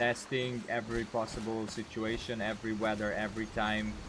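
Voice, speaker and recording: Speaking in a Slovene accent, a man keeps a fairly slow pace at a medium pitch. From Slovenia. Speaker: gaming streamer and modder. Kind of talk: live stream Q&A, casual chat. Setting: live stream reading chat. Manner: hesitant, many fillers.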